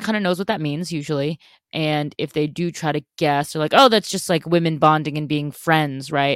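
In a dry, close sound with no echo on a very clean recording with a silent background, a woman speaks at a moderate pace in a very deep, low pitch with ordinary pitch variation. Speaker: podcast host. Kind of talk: casual chat.

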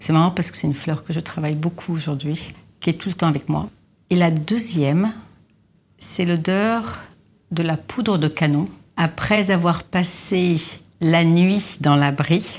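A woman's fairly low voice, fairly slow, with long, frequent pauses and ordinary pitch variation. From Lebanon (Beirut). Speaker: perfumer. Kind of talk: interview. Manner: hesitant with fillers.

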